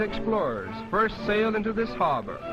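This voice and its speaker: Music plays in the background as a man with an American accent speaks. His pitch is high and his pace moderate. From United States. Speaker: travelogue narrator. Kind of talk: vintage travelogue documentary narration. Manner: formal, measured, declamatory.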